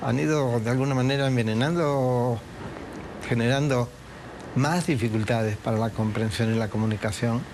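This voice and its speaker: A man's medium-pitched voice at a moderate pace, very even in loudness, with ordinary pitch variation, audible room echo and noticeable background noise. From Uruguay. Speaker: historian. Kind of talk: interview.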